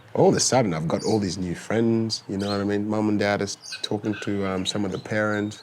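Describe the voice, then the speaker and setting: A man with an Australian accent speaks in a fairly low pitch and fairly even intonation, with noticeable background noise. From Sudan-born, raised in Victoria, Australia. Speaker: former footballer. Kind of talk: casual interview. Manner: halting.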